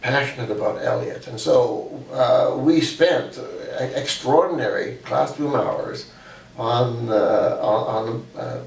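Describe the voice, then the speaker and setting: A man with a Western Canadian accent speaks at a very slow pace. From British Columbia, Canada. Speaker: poet and scholar. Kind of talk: interview answer.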